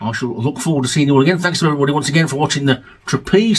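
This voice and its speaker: This man sounds somewhat breathy and uses ordinary pitch variation. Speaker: music vlogger and album reviewer. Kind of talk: casual video monologue. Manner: fast.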